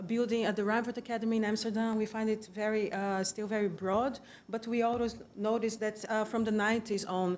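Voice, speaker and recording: A woman with a Brazilian accent speaks at a fairly high pitch in a monotone, flat intonation. Her pace is moderate. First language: Portuguese. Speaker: conference presenter, museum researcher. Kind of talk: conference presentation. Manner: hesitant, many fillers.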